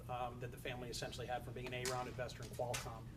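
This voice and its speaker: A man's voice with audible room echo. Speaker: family office executive. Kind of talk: panel discussion.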